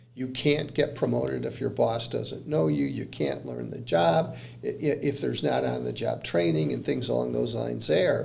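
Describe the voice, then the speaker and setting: A man talks at a moderate pace with hardly any pauses. Noticeable background noise and audible room echo are present. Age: 60s. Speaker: commercial real estate consultant. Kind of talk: podcast interview. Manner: hesitant, many fillers.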